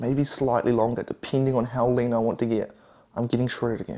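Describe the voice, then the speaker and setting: Against noticeable background noise, a man with a New Zealand accent talks fairly quickly at a medium pitch with fairly even intonation. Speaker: fitness and diet vlogger. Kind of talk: cooking vlog.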